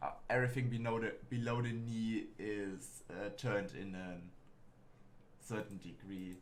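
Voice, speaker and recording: With a German accent, a man of medium pitch talks at a fairly slow pace with ordinary pitch variation, and audible room echo surrounds him. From Germany. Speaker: gaming streamer. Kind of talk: casual let's play commentary. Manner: halting.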